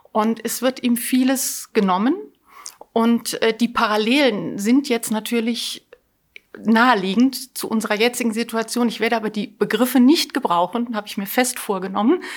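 Here is a woman with a normal speaking voice and a fairly high pitch. She talks at a moderate pace with ordinary pitch variation. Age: 50s. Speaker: volunteer library director. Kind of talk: interview.

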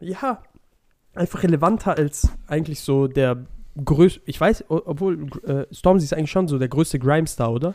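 A man with an unremarkable speaking voice and fairly high pitch talks at a moderate pace with ordinary pitch variation on a very clean recording with a silent background. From Swabia, southwestern Germany. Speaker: podcast co-host. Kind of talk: casual chat.

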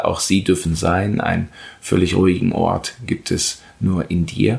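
Vocal fry runs through a man's voice, which has ordinary pitch variation. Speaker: meditation guide podcaster. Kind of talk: guided meditation. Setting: podcast recording. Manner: slow, calm, soothing, with long pauses; gentle, instructive.

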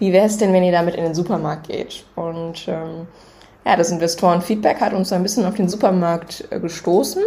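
The speech runs on with hardly any pauses. Background noise is noticeable. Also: woman, fairly low pitch for a woman, moderate pace. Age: 20s. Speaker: startup co-founder. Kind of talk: casual chat.

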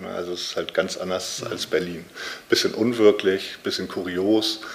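Noticeable noise sits behind a man who talks at a moderate pace. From northern Germany, Lübeck. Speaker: author and publisher. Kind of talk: interview. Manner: halting, frequent filler sounds.

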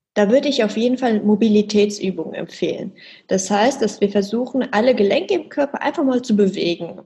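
A fairly high, somewhat breathy woman's voice with a dark, mellow tone, ordinary pitch variation, and a fairly quick pace. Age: 20s. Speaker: fitness trainer. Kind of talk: interview with exercise instructions.

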